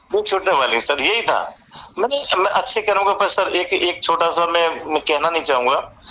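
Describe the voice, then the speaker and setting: This man's voice sits high and his loudness stays very even. Noticeable background noise runs underneath. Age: 60s. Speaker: retired bank manager. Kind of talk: interview. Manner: halting.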